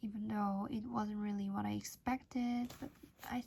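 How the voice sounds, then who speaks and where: Someone mumbles over noticeable background noise. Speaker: channel host reading a book aloud. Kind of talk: reading aloud with casual comments. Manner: mumbling, by own account; hesitant, with fillers.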